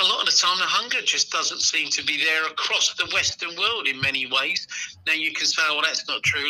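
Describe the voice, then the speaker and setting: Noticeable background noise sits under talking that runs at a fairly quick pace. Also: man. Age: 60s. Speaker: football journalist. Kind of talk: podcast discussion.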